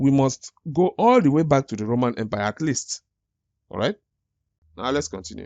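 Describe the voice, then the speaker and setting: This man has an African accent, a medium pitch and lively intonation. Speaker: YouTube commentator. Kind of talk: reaction commentary. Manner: halting, with false starts.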